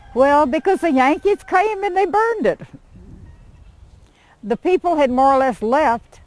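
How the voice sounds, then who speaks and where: A woman with an American accent speaks fairly slowly in a high voice, pitch swinging very widely, loudness very even, with long, frequent pauses. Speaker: local artifact collector and historian. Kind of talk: oral history interview answer.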